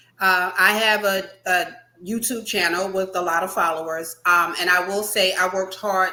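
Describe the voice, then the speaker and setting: Speaking at a fairly slow pace, a woman with an unremarkable speaking voice, medium pitch, fairly even intonation and an American accent is heard. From New Jersey. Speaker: YouTuber. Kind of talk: panel discussion.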